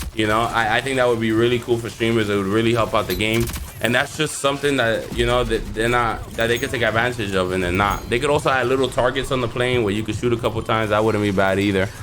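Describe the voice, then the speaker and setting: Amid noticeable background noise, a man at a medium pitch talks at a very fast pace with hardly any pauses and fairly even intonation. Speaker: gaming youtuber. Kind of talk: casual video commentary.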